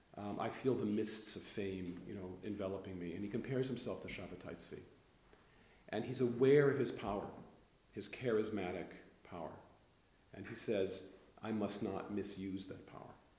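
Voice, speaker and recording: Somewhat breathy and with an American accent, the voice moves at a moderate pace with fairly even intonation and long, frequent pauses, while audible room echo surrounds it. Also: man, fairly low pitch for a man. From US West Coast, Los Angeles. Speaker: history professor. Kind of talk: interview.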